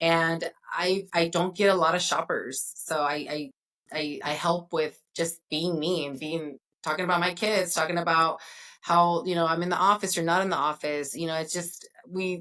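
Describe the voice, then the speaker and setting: A woman's fairly low-pitched voice with a bright, sharp tone and a Spanish accent, on a very clean recording with a silent background. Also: fairly even intonation, moderate pace. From Northern California. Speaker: mortgage broker. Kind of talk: interview.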